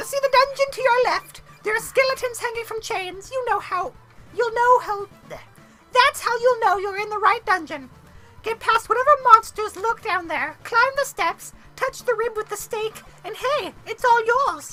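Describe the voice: With clear music behind it, a female-sounding put-on character voice pitched extremely high moves at a moderate pace.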